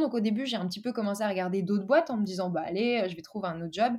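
Somewhat breathy and fairly high in pitch, a woman's voice carries a dark, mellow tone and ordinary pitch variation. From France, Dijon. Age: 20s. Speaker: freelance marketer and digital nomad. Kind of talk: casual interview.

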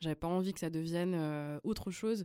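A woman's fairly low voice, dark and mellow in tone, at a fairly quick pace on a very clean recording with a silent background. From Switzerland, Lausanne. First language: Flemish (speaking French). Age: 20s. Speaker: singer and pianist. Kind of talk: interview.

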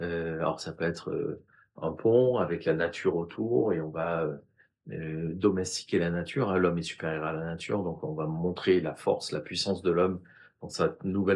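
With a very deep, low voice, a man talks at a moderate pace. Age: 50s. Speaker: communication agency founder. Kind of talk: interview. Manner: hesitant, many filler sounds.

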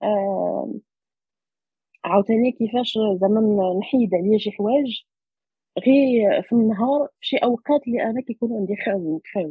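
A woman speaks at a moderate pace in a normal speaking voice. Her pitch is fairly high and varies in an ordinary way. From Morocco, Rabat. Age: young. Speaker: social entrepreneur and doctoral researcher. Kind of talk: interview. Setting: remote recording.

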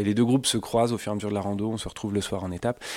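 Over a silent background on a very clean recording, a man speaks in a flat monotone. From Normandy, France (Suisse normande). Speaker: riding instructor and trekking guide. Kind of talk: interview. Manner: halting, many repetitions.

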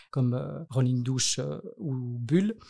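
Recorded very cleanly against a silent background, a man speaks at medium pitch in a somewhat breathy voice. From Belgium, Brussels. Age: 30s. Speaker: nonprofit director. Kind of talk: interview. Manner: hesitant, many fillers.

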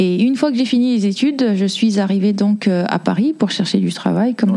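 With noticeable background noise behind her, a woman talks at a moderate pace, medium in pitch with ordinary pitch variation. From Congo, moved to France at 11. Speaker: artist and photo model. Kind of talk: interview. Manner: hesitant, many fillers.

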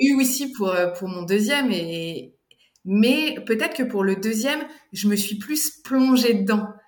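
Speaking at a very slow pace, a woman uses lively intonation at a fairly high pitch, with audible room echo. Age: 40s. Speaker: doula. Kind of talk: testimony. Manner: halting.

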